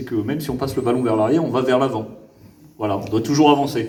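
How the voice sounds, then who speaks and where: A man speaks in a Parisian accent at medium pitch with ordinary pitch variation. Audible room echo is present. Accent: very Parisian French. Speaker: government official (prefect). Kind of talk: improvised public speech. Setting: gala event with audience. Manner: hesitant, many fillers and repetitions.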